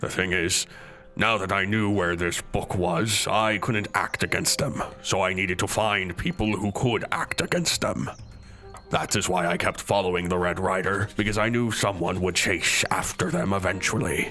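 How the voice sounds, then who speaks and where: Against clear background noise, a man puts on a character voice at a fairly low pitch and a moderate pace. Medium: actual play. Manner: earnest, slightly awkward.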